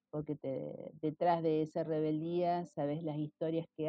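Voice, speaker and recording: This woman has a very deep, low pitch and an Argentine accent. Her intonation is monotone and flat. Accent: Rioplatense Argentine Spanish. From Argentina, Rosario. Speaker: retired schoolteacher. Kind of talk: interview.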